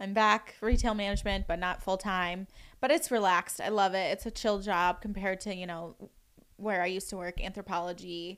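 An unremarkable speaking voice comes from a woman with an American accent. She talks at a fairly quick pace with fairly even intonation. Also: medium pitch for a woman. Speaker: esthetician student. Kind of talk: casual chat.

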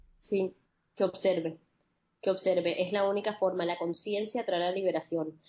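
A woman's calm tone at medium pitch, with monotone, flat intonation and a moderate pace. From Colombia, Caribbean coast (Barranquilla). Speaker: holistic psychologist. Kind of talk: interview.

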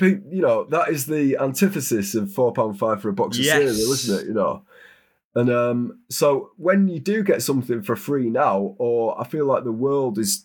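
In a very clean recording with a silent background, a man with a British accent speaks at a medium pitch with very wide pitch swings. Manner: slow, unhurried delivery; calm, soothing.

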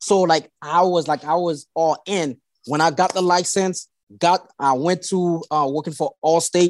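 Delivered at a fairly slow pace in a Haitian accent, the voice keeps a fairly even intonation with a dry, close sound and no echo. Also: man, high pitch for a man. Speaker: insurance agency owner. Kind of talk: casual interview chat. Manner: halting, with repeated words.

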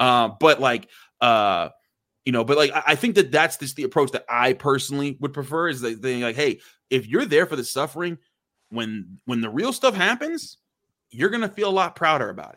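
On a very clean recording with a silent background, a man speaks at a moderate pace in a bright, sharp tone. His pitch is fairly high, his intonation lively, and his loudness swings widely. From Pittsburgh, Pennsylvania. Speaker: sports beat reporter. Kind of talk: casual chat.

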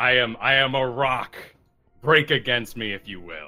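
A man uses a raspy put-on character voice at medium pitch and a moderate pace. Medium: actual play. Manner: solemn, grave.

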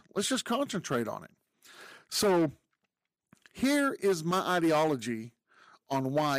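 A man with an American accent speaks at a fairly slow pace. The recording is very clean, with a silent background and a dry, close sound free of echo. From Texas. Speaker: podcast host. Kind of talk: opinion monologue. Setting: video podcast recording.

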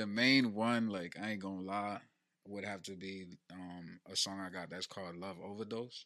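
Speaking with an American accent at a moderate pace, a man uses a fairly low, bright, sharp voice with fairly even intonation. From New Jersey (Elizabeth). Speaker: hip-hop recording artist. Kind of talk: casual chat.

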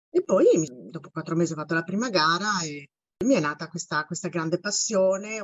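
Speaking at a fairly quick pace, a woman has a fairly low pitch and a plain, everyday voice. Her pitch varies in an ordinary way. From Italy, Bologna. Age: 50s. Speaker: university teacher and amateur runner. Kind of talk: casual interview.

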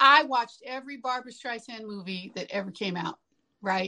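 The tone is bright and sharp, with a slight country accent. Pace is moderate and pitch variation ordinary. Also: woman. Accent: slight country twang. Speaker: singer-songwriter. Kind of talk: interview. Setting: remote call.

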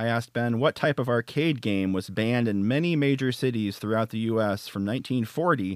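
An unremarkable speaking voice moves at a fairly quick pace with ordinary pitch variation, on a very clean, dry, close recording with a silent background and no echo. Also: man. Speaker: game segment producer. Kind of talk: casual banter.

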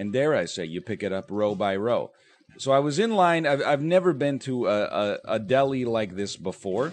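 Pitched at a medium level, a man speaks at a moderate pace with very wide pitch swings. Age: 30s. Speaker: YouTuber. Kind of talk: casual vlog monologue. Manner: halting, with many restarts.

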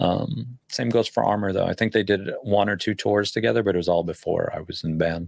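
A man with an American accent talks at a fairly quick pace with hardly any pauses, in a fairly low pitch with ordinary pitch variation. He has an ordinary speaking voice. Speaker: rock musician. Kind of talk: casual chat.

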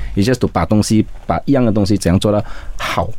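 Against noticeable background noise, a man with a fairly low pitch speaks at a fairly quick pace with ordinary pitch variation. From Malaysia, Sarawak (Kuching). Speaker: restaurant founder, entrepreneur. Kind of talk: interview.

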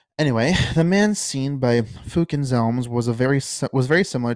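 In a plain, everyday voice, a man talks at a fairly quick pace with medium pitch and ordinary pitch variation, dry and close with no echo, on a very clean recording with a silent background. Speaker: podcast host. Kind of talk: true-crime narration, reading case facts aloud. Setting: home recording, solo podcast. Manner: steady, measured, informational delivery with occasional casual asides.

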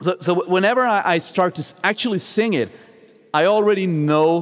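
A man with a Swedish accent at a moderate pace. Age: 30s. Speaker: vocal coach and metal singer. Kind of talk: casual interview. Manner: halting, with many repeated words.

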